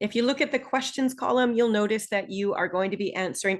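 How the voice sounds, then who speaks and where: Against a quiet background, a woman with a Canadian accent talks at a fairly quick pace with ordinary pitch variation. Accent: typical Canadian. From Northern Ontario, Canada. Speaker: online English instructor. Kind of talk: webinar presentation. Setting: online Zoom webinar. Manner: clear, measured.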